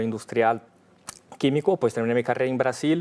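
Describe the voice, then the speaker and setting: In a Brazilian accent, the speaker keeps a fairly even intonation on a very clean recording with a silent background. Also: man. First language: Portuguese (speaking Spanish). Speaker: business leader. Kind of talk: interview. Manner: halting.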